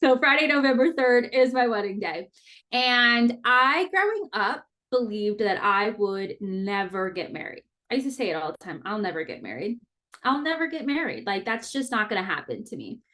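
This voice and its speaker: An unremarkable speaking voice belongs to this woman, who keeps a moderate pace. Her intonation is lively, with big swings in loudness. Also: fairly high pitch for a woman. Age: 30s. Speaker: podcast host. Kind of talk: personal monologue podcast. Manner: casual.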